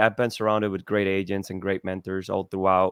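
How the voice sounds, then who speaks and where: A man with a Spanish accent at a fairly quick pace, monotone and flat. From Cuba. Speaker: real estate agent and small business owner. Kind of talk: podcast interview.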